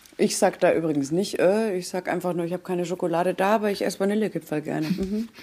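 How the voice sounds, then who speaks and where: A woman with a dark, mellow tone and medium pitch talks at a very fast pace with hardly any pauses and fairly even intonation. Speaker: podcast host. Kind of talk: casual chat.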